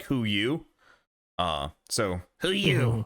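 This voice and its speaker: On a very clean recording with a silent background, a man in a put-on character voice at medium pitch makes very wide pitch swings. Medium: actual play. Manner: broken, clipped speech.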